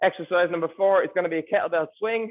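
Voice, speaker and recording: The delivery is fairly quick. The pitch varies in an ordinary way. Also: man. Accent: Irish. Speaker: personal trainer. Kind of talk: tutorial.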